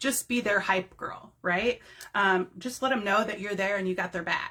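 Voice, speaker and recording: A woman speaks in an ordinary speaking voice at medium pitch, keeping a moderate pace and fairly even intonation. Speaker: direct sales team leader. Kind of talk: live-streamed training talk. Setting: home office, facebook live. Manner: casual, rambling with fillers.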